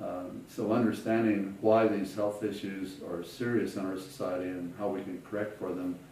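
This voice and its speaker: The speaker has an American accent. Audible room echo and noticeable background noise are present. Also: man. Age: 70s. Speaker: physicist, author. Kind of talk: interview. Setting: at home. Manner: hesitant, with fillers.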